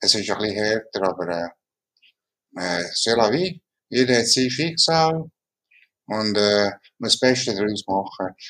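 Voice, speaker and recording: Male speech with lively intonation and long, frequent pauses. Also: fairly low pitch for a man. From Ticino, Switzerland. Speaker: mouth painter, tetraplegic artist. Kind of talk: interview. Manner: halting.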